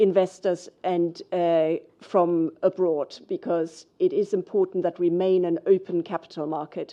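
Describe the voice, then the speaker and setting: A woman speaks with a German accent at a fairly slow pace. Her intonation stays fairly even. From Germany. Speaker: financial regulator. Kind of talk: panel discussion. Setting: conference stage with audience.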